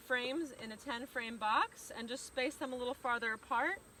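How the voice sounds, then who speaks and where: A woman's raised, projected voice rises at a high pitch above noticeable background noise. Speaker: beekeeper. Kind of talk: tutorial. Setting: outdoors. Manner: loud.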